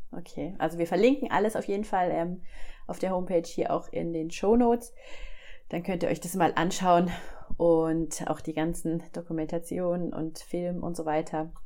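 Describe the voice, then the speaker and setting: In a dark, mellow tone, a woman speaks at a fairly low pitch and a moderate pace. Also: ordinary pitch variation. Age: 40s. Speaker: podcast host. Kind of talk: interview.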